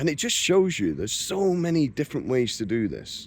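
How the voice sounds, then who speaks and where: On a very clean recording with a silent background, a man with a British accent speaks at a moderate pace with very wide pitch swings. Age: 60s. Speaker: retired travel vlogger. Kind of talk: vlog monologue. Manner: hesitant with fillers.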